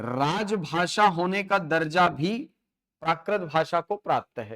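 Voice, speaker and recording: Lively intonation rings out in a very clean recording with a silent background and a dry, close sound with no echo. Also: man. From Chhattisgarh, India. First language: Chhattisgarhi (speaking Hindi). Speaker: teacher. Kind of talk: lecture. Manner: halting with fillers and repetitions.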